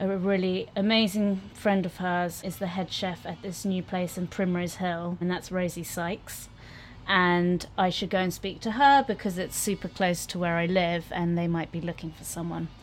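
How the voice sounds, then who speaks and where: A woman in a London accent talks at a medium pitch and a moderate pace, keeping her intonation fairly even. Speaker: chef and restaurant co-owner. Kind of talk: casual chat. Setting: outdoor canal-side kiosk.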